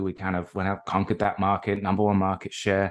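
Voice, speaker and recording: Over a quiet background, a man speaks with an American accent. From England, outside London. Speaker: tech company director. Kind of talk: interview.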